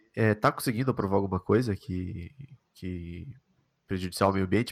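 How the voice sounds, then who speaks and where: Delivered at a very fast pace, the speech has fairly even intonation and a dry, close sound with no echo. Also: man. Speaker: podcast host. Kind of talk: casual interview chat.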